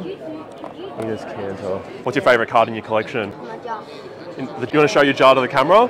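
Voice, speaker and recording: Crowd noise fills the background as a man talks at a fairly quick pace with a medium pitch. His intonation is lively, and his loudness swings widely. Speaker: sports card collector vlogger. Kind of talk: casual vlog. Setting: card show floor.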